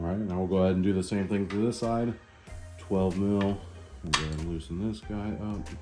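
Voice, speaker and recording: A man's very deep, low voice in a relaxed tone, fairly even in intonation and fairly quick, with music in the background. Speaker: home motorcycle mechanic. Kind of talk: DIY repair tutorial narration. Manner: casual, relaxed, many filler words.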